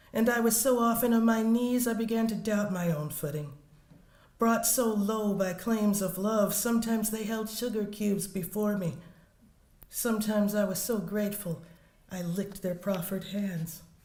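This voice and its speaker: Somewhat breathy at a medium pitch, a woman with an American accent talks at a moderate pace with fairly even intonation, and room echo is audible. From US South. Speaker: poet. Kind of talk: poetry reading.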